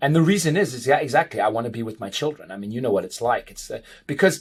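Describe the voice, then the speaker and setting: A somewhat breathy man talks at a very fast pace. His pitch swings very widely. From South Africa and Portugal. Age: 40s. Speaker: dentist and international speaker. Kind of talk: podcast interview.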